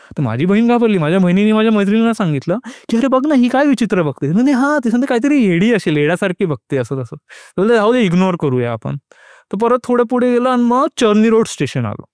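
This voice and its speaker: The voice makes very wide pitch swings, with a dry, close sound with no echo. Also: man, high pitch for a man, very clean recording, silent background. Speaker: lawyer. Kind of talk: podcast storytelling. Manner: calm, gripping.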